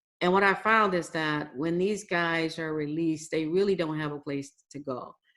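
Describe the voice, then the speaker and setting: A woman speaks in a normal speaking voice at a moderate pace, her fairly low pitch moving in fairly even intonation. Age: 60s. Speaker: business owner, contractor CEO. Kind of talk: podcast interview.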